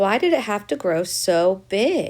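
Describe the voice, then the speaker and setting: The speaker uses a put-on character voice. Its pitch sits in the middle. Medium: read story. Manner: firm.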